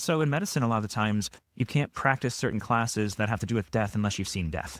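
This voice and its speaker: A man with an American accent at a very fast pace, lively in intonation, on a very clean recording with a silent background and a dry, close sound with no echo. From Chicago, US Midwest. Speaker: sociology professor. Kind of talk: podcast interview. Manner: fast talker.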